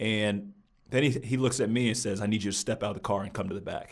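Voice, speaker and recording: Fairly low in pitch, a man speaks at a very fast pace with ordinary pitch variation. The recording is very clean, with a silent background. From eastern and southern US, moved often. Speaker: guest, former basketball player. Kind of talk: interview about race and faith. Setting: studio.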